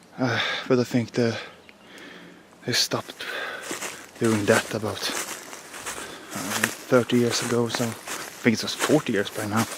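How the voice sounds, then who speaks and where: A man with a Swedish accent, medium pitch and monotone, flat intonation, at a fairly slow pace with long, frequent pauses, over noticeable background noise. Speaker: outdoor vlogger. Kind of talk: walking vlog narration.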